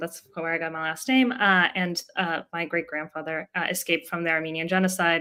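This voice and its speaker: A woman with a Russian accent talks at a fairly quick pace with hardly any pauses, her fairly low pitch paired with a bright, sharp tone, in a very clean recording with a silent background. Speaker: tech startup co-founder. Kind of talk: interview podcast.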